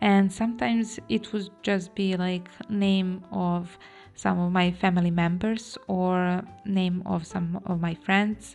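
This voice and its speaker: A woman's medium-pitched voice in a Serbian accent, very slow and fairly even in intonation, over music in the background. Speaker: planner vlogger. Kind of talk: tutorial. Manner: halting.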